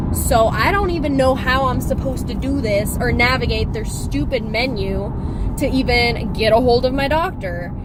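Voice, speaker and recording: A woman speaks in an animated tone. Noticeable background noise and audible room echo surround her voice. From Kansas. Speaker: vlogger. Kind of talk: casual rant. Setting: in a car.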